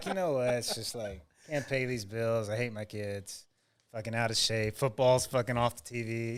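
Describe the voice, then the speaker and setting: A man speaks at a moderate pace with an unremarkable speaking voice, medium in pitch. His pitch varies in an ordinary way, and the recording is very clean with a silent background. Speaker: podcast host.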